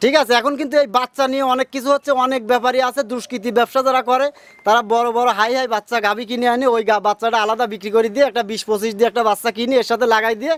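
Over noticeable background noise, a man speaks at an extremely high pitch with fairly even intonation. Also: dry, close sound with no echo. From Bangladesh, Pabna district. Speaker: dairy cattle trader and farm owner. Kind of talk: casual interview.

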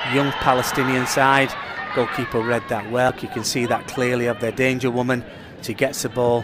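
A man talks at a moderate speed while noticeable background noise runs beneath him. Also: medium pitch for a man. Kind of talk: live soccer commentary. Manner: conversational with occasional fillers and self-corrections.

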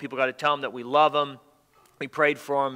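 Against a quiet background, a man speaks in a bright, sharp tone with flat, monotone intonation. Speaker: pastor. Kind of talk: church announcements and prayer requests. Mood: earnest, somber. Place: church.

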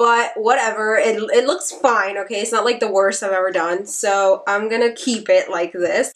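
A woman's fairly high voice with ordinary pitch variation, against noticeable background noise. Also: moderate pace. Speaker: beauty YouTuber. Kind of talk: casual talk to camera.

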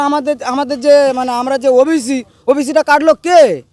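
A man's voice at an extremely high pitch, dry and close with no echo. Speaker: local resident protester. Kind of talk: angry street interview. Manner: animated.

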